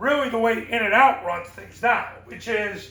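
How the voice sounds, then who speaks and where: Over noticeable background noise, a man with an extremely high pitch speaks very slowly in a raised, projected voice. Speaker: football coaching consultant and sport psychologist. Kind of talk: motivational coaching talk.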